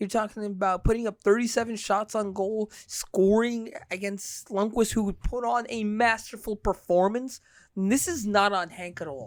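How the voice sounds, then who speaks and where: In a New York accent, a woman speaks at a moderate pace in a fairly high pitch with an animated tone. She takes hardly any pauses, and the recording is very clean with a silent background. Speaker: sports podcast host. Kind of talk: casual sports podcast chat.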